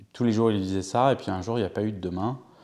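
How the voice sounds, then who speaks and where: Dark and mellow in tone, a man's voice carries ordinary pitch variation. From Paris region, France. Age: 40s. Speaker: interviewee telling family history. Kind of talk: personal testimony interview. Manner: halting, many fillers.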